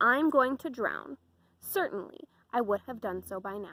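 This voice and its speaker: A woman growls through a put-on character voice at a fairly high pitch. Her pace is moderate. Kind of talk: bedtime story. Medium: read story.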